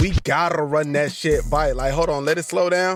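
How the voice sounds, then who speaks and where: Music plays behind a man whose voice swings very widely in pitch. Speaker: anime content creator. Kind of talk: comedic anime plot recap voiceover. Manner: chaotic, high-energy, joking.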